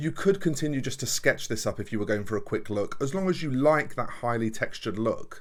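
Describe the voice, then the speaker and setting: Lively intonation and a fairly high pitch come from a man talking at a fairly quick pace with hardly any pauses. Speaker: miniature painter and channel host. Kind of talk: tutorial. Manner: fast.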